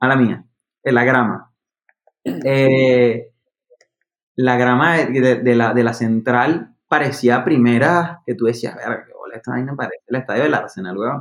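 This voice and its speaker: The speech comes in a Venezuelan accent at a fairly slow pace, with ordinary pitch variation and long, frequent pauses. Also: man, medium pitch for a man. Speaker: podcast host. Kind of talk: casual chat.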